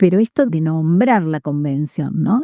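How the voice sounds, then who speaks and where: A woman speaks with ordinary pitch variation in a dry, close recording with no echo. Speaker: judge. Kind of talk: interview. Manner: loud voice; halting, many fillers.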